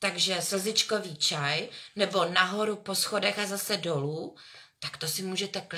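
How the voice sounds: This natural reading voice has ordinary pitch variation.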